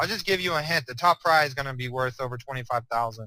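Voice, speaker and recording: A man with a fairly high voice speaks fairly quickly, with ordinary pitch variation. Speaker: program owner presenting a business opportunity. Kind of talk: webinar product presentation. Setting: online webinar. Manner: fast; casual, hesitant with fillers.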